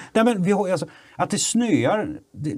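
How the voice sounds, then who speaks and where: The voice has vocal fry and moves at a moderate pace. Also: man. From Sweden, Kalmar. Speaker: photographer and filmmaker. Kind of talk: casual political chat.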